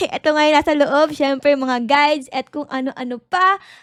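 Cheerful, bright and sharp woman's voice with a dry, close sound and no echo. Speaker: gaming YouTuber and vlogger. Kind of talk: vlog voiceover narration. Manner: cheerful, frequent laughter.

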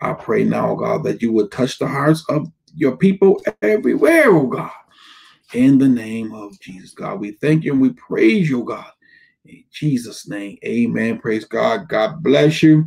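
A man talks at a fairly slow pace with big swings in loudness over a quiet background. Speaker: pastor. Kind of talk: prayer then sermon. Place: home room. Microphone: webcam.

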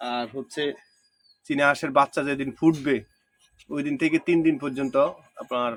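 A man's fairly high-pitched voice, dry and close with no echo. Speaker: farmer and village vlogger. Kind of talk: casual vlog talk to camera.

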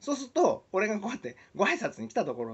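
A man speaks with a high pitch and very wide pitch swings. The background is quiet. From Shizuoka, Japan; Japan. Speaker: musician and video blogger; video blogger. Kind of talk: casual monologue vlog. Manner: hesitant with many fillers. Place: home room. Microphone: webcam.

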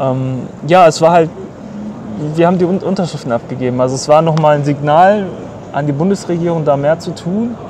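A man talks at a moderate pace with ordinary pitch variation. The sound is dry with no echo, and there is noticeable background noise. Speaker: brother of detained journalist. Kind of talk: interview answer. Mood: earnest, somewhat indignant. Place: street.

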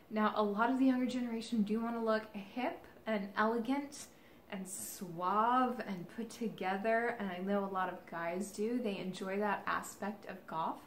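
A woman with an American accent speaks at a moderate pace in a fairly high pitch, her intonation fairly even. Audible room echo and light background noise are present. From Kansas City. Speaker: golf vlogger. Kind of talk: casual vlog monologue. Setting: in retail stores. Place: home room. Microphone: camera far.

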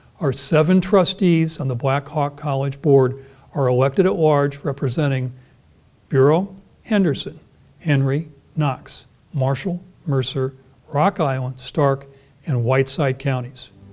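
Speaking fairly slowly with long, frequent pauses, a man's somewhat breathy voice shows ordinary pitch variation. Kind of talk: formal ceremonial address. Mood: formal, warm. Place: stage. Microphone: lapel.

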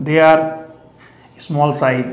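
At a fairly slow pace, a man speaks at a fairly high pitch. Room echo is audible. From India. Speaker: biology teacher. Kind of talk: lecture. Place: classroom. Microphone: lapel.

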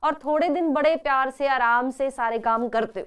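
A woman speaks at a fairly slow pace with a high pitch and ordinary pitch variation. The background is quiet. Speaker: online school teacher. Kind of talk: live online class. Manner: animated. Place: studio.

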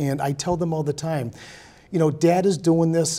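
The tone is dark and mellow, somewhat breathy, at a moderate pace. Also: man. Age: 50s. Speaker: city council candidate and health inspector; council candidate. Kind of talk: interview. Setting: TV studio. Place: studio. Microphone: lapel.

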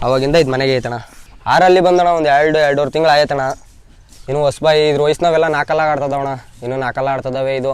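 Against noticeable background noise, a man talks in a fairly high voice with fairly even intonation. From Karnataka village. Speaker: ram owner and fighting sheep keeper. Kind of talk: casual interview.

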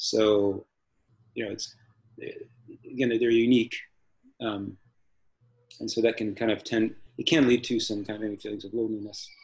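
A man speaks at a medium pitch and moderate pace, somewhat breathy, with monotone, flat intonation. He leaves long, frequent pauses against a quiet background. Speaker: missionary. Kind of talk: casual interview. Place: home room. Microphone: video call.

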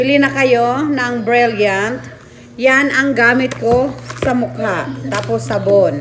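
Very slow speech from a woman with a fairly high pitch, with music in the background and audible room echo. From Bohol, Philippines. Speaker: vlogger. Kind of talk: sales pitch; casual vlog chat. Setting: at home.

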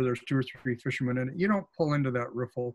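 A man talks at a very fast pace. He has an American accent. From Oregon coast, US Pacific Northwest; Oregon. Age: 70s. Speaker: fly fishing author and expert; presenter. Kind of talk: webinar presentation. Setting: video call. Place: office. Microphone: webcam.

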